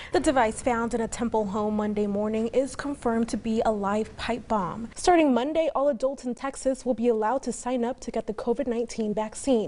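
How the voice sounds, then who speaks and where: A woman's plain, everyday voice, fairly high in pitch, at a fairly quick pace. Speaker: TV news anchor and reporter. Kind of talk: TV news anchoring.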